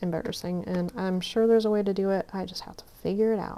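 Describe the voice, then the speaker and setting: Mumbling at a fairly quick pace, a woman with a medium pitch and fairly even intonation speaks over noticeable background noise. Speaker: craft youtuber. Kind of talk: crafting tutorial. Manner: casual, chatty.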